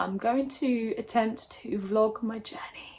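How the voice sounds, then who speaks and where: Somewhat breathy and fairly high, a woman's voice carries the clip. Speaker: actor and singer. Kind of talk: casual talk to camera.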